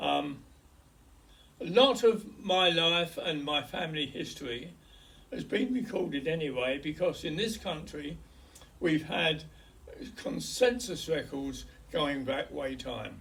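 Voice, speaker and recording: The speaker has a London accent and lively intonation, moving at a fairly slow pace. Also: man, fairly high pitch for a man. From west London, England. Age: 80s+. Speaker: hospice patient recording his life story. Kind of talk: oral history, personal memoir. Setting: hospice. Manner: halting.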